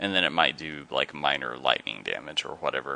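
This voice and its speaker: A man mumbles. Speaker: game artist. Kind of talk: live stream commentary while painting. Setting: live stream from home studio. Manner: mumbling; halting, many fillers.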